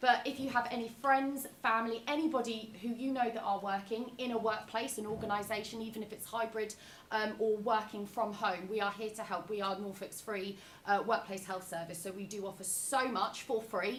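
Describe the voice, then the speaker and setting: Amid noticeable background noise and audible room echo, a woman speaks at a fairly quick pace, her fairly high voice held to a fairly even intonation. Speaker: workplace health service representative. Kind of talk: presentation to live audience. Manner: loud.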